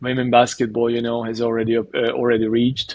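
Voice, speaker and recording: This man has a Hungarian accent. His voice sits at a medium pitch. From Hungary. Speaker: basketball coach. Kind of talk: interview. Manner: halting, many fillers.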